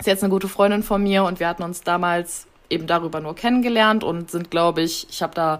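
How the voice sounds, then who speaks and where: A woman talks fairly quickly in a normal speaking voice, pitched fairly low. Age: 20s. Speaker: travel content creator. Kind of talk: casual interview chat.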